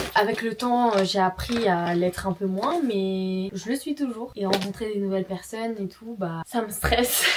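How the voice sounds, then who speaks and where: Against noticeable background noise, a woman talks at a moderate pace and medium pitch with ordinary pitch variation. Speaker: lifestyle vlogger. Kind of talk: casual vlog talk to camera.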